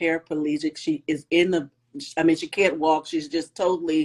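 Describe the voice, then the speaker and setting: This woman's pitch is very deep and low, and her intonation stays monotone and flat. The sound is dry and close with no echo. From Chicago suburbs. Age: 60s. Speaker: podcast host. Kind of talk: interview. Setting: Instagram live video.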